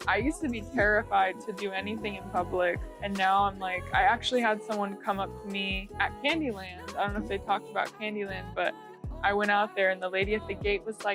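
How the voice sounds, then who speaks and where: A woman with an American accent at a fairly quick pace, music in the background. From Oregon, USA. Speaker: singer-songwriter. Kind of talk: interview answer. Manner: casual, chatty.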